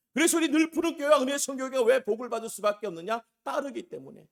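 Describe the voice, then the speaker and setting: A man speaks at a fairly quick pace with lively intonation. His pitch is extremely high. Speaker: pastor. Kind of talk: sermon. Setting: small church. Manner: emphatic preaching.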